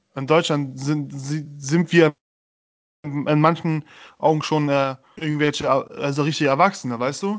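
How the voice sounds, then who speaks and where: With a fairly high pitch and fairly even intonation, a man speaks at a fairly slow pace, leaving long, frequent pauses. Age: 20s. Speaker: podcast co-host. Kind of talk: casual chat.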